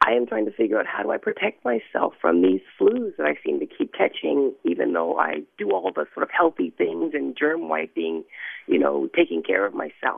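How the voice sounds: Big pitch swings at a moderate pace, with a slightly husky edge and vocal fry. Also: woman, low pitch for a woman.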